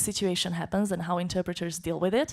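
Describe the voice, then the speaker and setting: A Slovak accent in a very clean recording with a silent background. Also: woman. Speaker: conference interpreter. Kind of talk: conference talk.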